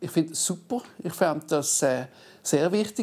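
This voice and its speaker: Speaking at a moderate pace, a man has a dark, mellow tone with ordinary pitch variation. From Basel, Switzerland. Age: 30s. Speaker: politician. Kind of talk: panel debate. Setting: stage with audience.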